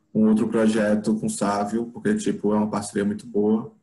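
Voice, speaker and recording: A man's dark, mellow, fairly low voice with monotone, flat intonation. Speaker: film director. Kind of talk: casual interview. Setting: video call.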